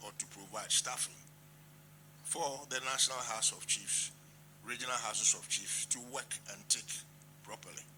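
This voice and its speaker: Amid noticeable background noise, a man with a medium pitch speaks at a moderate pace with fairly even intonation. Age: 80s+. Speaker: traditional chief. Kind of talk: formal address. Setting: meeting at president's office.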